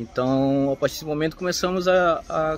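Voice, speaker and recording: Music plays in the background. A man talks at a fairly slow pace with ordinary pitch variation. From Parintins, Amazonas, Brazil. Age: 30s. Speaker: carnival float sculptor. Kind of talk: testimony. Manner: halting, frequent fillers.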